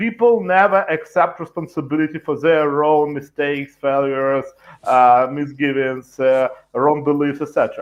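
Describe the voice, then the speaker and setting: Someone with a Russian accent talks at a moderate pace with ordinary pitch variation. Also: man, fairly high pitch for a man. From Ukraine. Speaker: political analyst. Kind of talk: panel discussion. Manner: halting.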